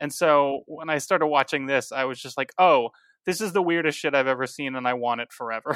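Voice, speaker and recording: This man has a plain, everyday voice, pitched fairly high, and talks at a fairly quick pace with ordinary pitch variation in a dry, close sound with no echo on a very clean recording with a silent background. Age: 30s. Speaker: comedian and show host. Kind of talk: casual chat.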